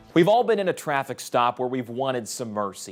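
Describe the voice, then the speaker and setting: On a very clean recording with a silent background, a man speaks at a medium pitch. He moves at a fairly quick pace with lively intonation. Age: young. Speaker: TV news anchor and reporter. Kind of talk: TV news feature package narration. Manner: energetic.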